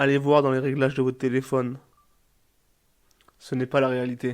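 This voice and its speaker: This man talks at a medium pitch with monotone, flat intonation. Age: 20s. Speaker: podcaster. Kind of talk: personal advice monologue. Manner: halting, searches for words.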